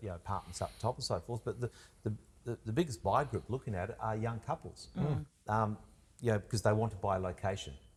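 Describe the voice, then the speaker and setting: Very fast, somewhat breathy delivery from a man at a fairly low pitch, with long, frequent pauses and ordinary pitch variation, in a very clean recording with a silent background. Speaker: auctioneer and real estate agent. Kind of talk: casual conversational talk about property advice.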